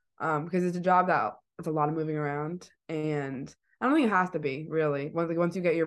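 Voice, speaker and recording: Against a quiet background, a woman talks at a fairly quick pace in a very deep, low pitch with fairly even intonation. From East Providence, Rhode Island. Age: 20s. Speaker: student sports broadcaster. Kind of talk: casual chat.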